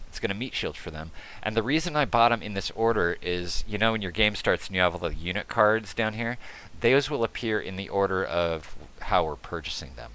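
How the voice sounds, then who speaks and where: Here a man talks at a fairly quick pace with lively intonation. His pitch is fairly low and his tone bright and sharp. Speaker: strategy game video creator. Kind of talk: gameplay tutorial commentary. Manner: casual, conversational.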